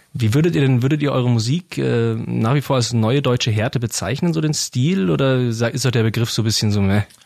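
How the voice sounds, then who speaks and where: Here is a man with an unremarkable speaking voice at medium pitch and ordinary pitch variation. He goes at a fairly quick pace with hardly any pauses. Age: 20s. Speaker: radio podcast host. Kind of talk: casual interview. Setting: studio.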